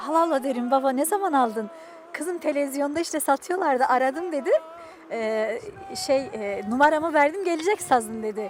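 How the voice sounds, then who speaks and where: Over music in the background, a woman talks at a high pitch and a moderate pace. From Dersim, eastern Turkey. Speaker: musician. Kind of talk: interview. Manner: hesitant, many fillers.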